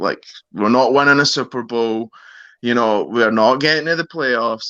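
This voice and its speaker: A man with a Scottish accent talks with ordinary pitch variation against a quiet background. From Scotland, Glasgow. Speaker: sports fan guest. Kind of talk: casual chat.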